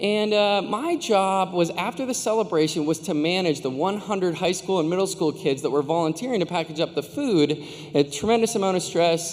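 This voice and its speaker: A man with an American accent, high-pitched, fairly quick and with hardly any pauses, ordinary pitch variation, and noticeable background noise. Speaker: commencement speaker. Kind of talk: commencement speech. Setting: stage with audience. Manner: fast; animated.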